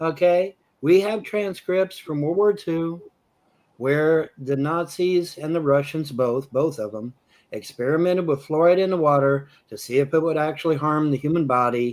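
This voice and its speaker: The speaker uses an American accent at a moderate pace with ordinary pitch variation. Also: man, fairly high pitch for a man. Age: 60s. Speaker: live stream host. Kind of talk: heated debate. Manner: animated.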